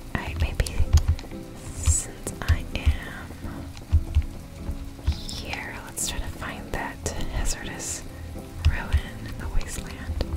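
A whispering voice moves at a very slow pace over music in the background. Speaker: ASMR gaming let's-play host. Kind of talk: soft gameplay commentary. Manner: whispered.

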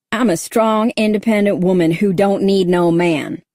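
A put-on character voice, female-sounding, at a medium pitch for a woman and a moderate pace. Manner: mocking, sassy.

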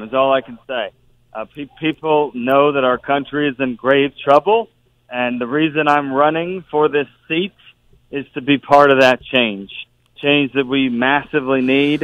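At a fairly slow speed, an unremarkable speaking voice delivers its words with fairly even intonation. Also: man. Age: 40s. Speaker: senate candidate, former state attorney general. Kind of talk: radio interview.

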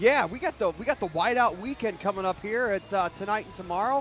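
High-pitched man in a dry sound with no echo, faint music in the background. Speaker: college hockey broadcaster. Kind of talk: casual banter on air. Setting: hockey arena. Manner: light, joking. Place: stadium. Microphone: headset.

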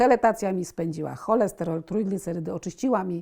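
A woman with an unremarkable speaking voice talks at a moderate pace, her pitch medium with ordinary variation, on a very clean recording with a silent background. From Poland, Warsaw. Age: 60s. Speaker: patient. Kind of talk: testimony.

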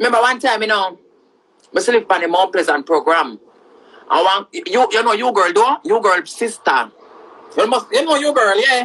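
A woman at a moderate pace, with an animated tone, very wide pitch swings and long, frequent pauses. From Jamaica. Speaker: social media personality. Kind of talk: casual monologue. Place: home room. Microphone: phone near.

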